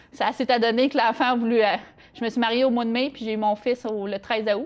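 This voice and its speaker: A fairly quick pace in monotone, flat intonation, with noticeable background noise. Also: woman, fairly high pitch for a woman. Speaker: interview guest sharing life story. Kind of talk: interview testimony. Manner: halting, many hesitations.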